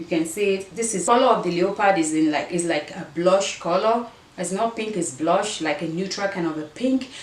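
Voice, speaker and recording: A woman with an African accent at medium pitch, moderate pace and ordinary pitch variation, over noticeable background noise. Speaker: fashion vlogger. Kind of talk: try-on haul vlog.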